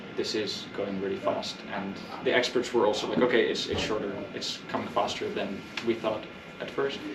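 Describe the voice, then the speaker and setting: A man with a Dutch accent at a medium pitch, fairly quick in pace, with fairly even intonation, audible room echo and noticeable background noise. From Netherlands. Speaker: activist presenter. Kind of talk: public presentation. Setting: community meeting in a record store.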